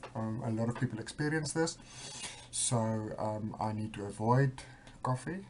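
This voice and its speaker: Here a man talks at a moderate pace and a medium pitch. His voice is somewhat breathy, with ordinary pitch variation. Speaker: vlogger with bipolar disorder. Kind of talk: personal video diary. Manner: hesitant, many fillers; speeding up.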